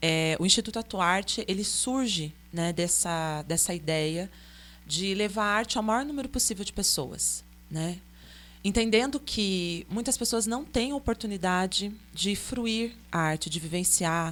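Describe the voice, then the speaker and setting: A woman in a normal speaking voice talks at a fairly slow pace and medium pitch with lively intonation, on a very clean recording with a silent background. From São Paulo state interior, Vale do Paraíba (Pindamonhangaba area). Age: 40s. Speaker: artist. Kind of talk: podcast interview.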